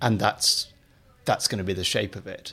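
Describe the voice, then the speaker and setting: A man speaks at a very fast pace. His voice has vocal fry. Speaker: podcast host and literary editor. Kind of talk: interview.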